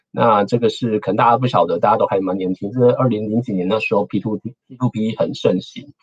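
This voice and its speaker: A man talks at a fairly quick pace. Behind him, the background is quiet. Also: fairly even intonation. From Taiwan. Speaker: engineer and researcher giving a guest lecture; guest lecturer. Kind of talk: lecture. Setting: online talk. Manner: frequent fillers and hesitations. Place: home room. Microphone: webcam.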